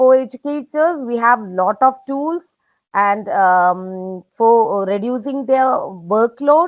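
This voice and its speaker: Speaking at a very slow pace, a woman with a Keralan accent uses a fairly high pitch and lively intonation. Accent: Indian (Malayali) English. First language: Malayalam. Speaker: professor. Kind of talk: webinar Q&A. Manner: hesitant, many fillers.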